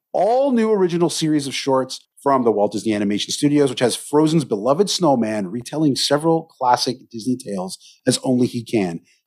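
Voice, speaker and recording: Hardly pausing, a man talks at a fairly quick pace with lively intonation and medium pitch in an ordinary speaking voice. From Canada. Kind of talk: casual chat.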